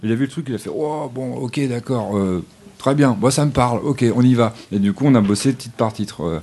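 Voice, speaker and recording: A man speaks at a moderate pace and medium pitch with lively intonation. His tone is dark and mellow. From Normandy. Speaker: singer-songwriter. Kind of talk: casual chat.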